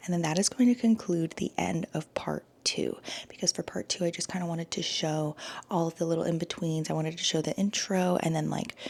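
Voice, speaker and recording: With noticeable background noise behind her, a woman talks at a fairly quick pace in a fairly low voice. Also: ordinary pitch variation. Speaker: vlogger. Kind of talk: casual vlog. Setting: at home.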